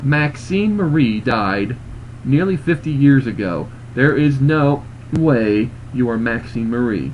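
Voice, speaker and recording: With clear background noise behind him, a man does a put-on character voice at a medium pitch and a fairly slow pace. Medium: read story. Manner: disbelieving, blunt.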